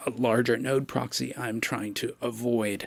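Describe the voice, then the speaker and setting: A plain, everyday voice at a fairly slow pace. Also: man. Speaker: music software developer and teacher. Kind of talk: conference talk.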